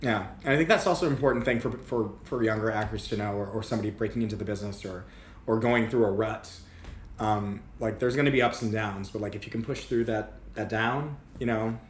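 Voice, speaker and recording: With audible room echo, a man with an American accent and a fairly low pitch talks at a very fast pace. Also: fairly even intonation. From Massachusetts, south of Boston. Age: 30s. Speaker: actor and singer. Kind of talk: casual interview. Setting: in person, Upper West Side.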